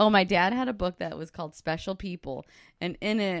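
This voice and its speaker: A woman speaks at a moderate pace with a fairly low pitch. The recording is very clean, with a silent background and a dry, close sound with no echo. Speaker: host's wife. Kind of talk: casual chat. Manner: animated.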